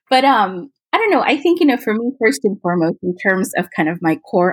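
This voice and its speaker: A woman with an American accent and lively intonation, in a very clean recording with a silent background and a dry, close sound with no echo. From Fulton, Missouri, US Midwest (from age six). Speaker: interfaith council director. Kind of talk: interview.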